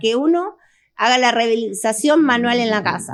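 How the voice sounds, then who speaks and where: A woman with fairly high pitch and ordinary pitch variation over a quiet background. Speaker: doctor. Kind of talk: interview. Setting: studio. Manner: fast.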